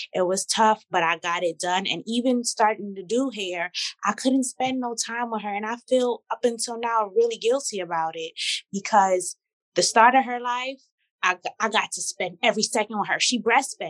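Her tone is animated, with a fairly high pitch and ordinary pitch variation. The woman keeps a moderate pace in a dry, close sound with no echo. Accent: New York. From Brooklyn, New York. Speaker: celebrity hairstylist. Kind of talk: casual chat.

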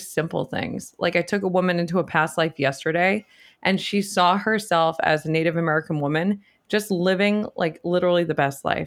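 Her voice is fairly low for a woman, with ordinary pitch variation. She talks at a fairly quick pace. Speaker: licensed psychotherapist and shadow work practitioner. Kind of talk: casual interview chat.

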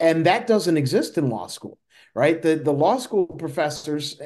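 Here a man speaks with an American accent at a fairly slow pace. His pitch is high and his intonation lively. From US Midwest, Illinois. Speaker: retired lawyer. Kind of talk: interview. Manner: halting, many fillers.

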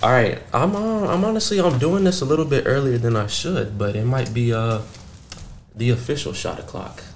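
Through noticeable background noise and audible room echo, a man at a medium pitch speaks with very wide pitch swings. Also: moderate pace. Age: 20s. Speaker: podcast host. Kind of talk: casual chat. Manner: animated.

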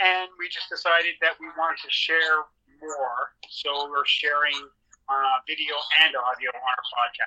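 Someone with a Canadian accent talks in a normal speaking voice at a fairly slow pace, with ordinary pitch variation. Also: man, fairly high pitch for a man. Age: 60s. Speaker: wrestling historian. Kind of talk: interview.

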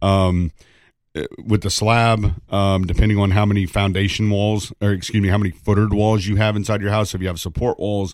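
A man's monotone, flat delivery at a fairly quick pace, on a very clean recording with a silent background. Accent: East Tennessee. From East Tennessee. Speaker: radon mitigation business owner. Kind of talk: radio interview. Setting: radio studio.

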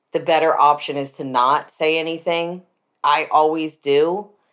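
A woman's fairly low voice at a moderate pace, fairly even in intonation, a normal speaking voice. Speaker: podcast host. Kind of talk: casual chat.

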